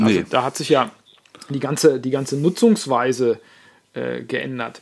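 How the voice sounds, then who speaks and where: A man's fairly high-pitched, unremarkable speaking voice at a moderate pace. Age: 40s. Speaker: journalist and musician. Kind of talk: casual chat.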